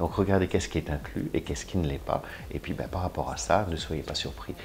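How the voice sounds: Pitch moves up and down in a normal way. The delivery is on the quick side. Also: man, extremely low pitch for a man.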